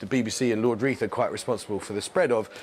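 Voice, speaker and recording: Someone speaks with a London accent over noticeable background noise. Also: man. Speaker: TV presenter and documentary maker. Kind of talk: TV interview.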